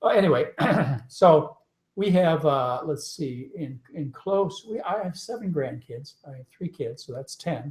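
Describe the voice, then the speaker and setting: A man with an unremarkable speaking voice talks at a fairly slow pace in a fairly high pitch, his intonation lively and his loudness swinging widely. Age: 60s. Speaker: physician and diet author. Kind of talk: live webinar interview. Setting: home, live webinar broadcast.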